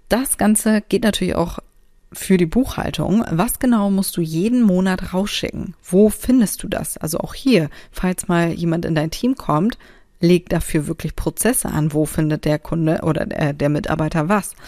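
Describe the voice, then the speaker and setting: A woman speaks at a moderate pace in a dark, mellow tone with ordinary pitch variation. The recording is very clean and the background silent. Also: medium pitch for a woman. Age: 30s. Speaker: podcast host, self-employed creative. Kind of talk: casual solo monologue with tips. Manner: animated, colloquial.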